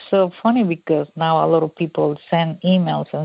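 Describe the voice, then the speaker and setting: This woman has a Mexican accent. Her voice sits at a fairly low pitch. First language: Spanish. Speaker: cook and food blogger. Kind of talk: interview. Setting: radio interview. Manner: halting.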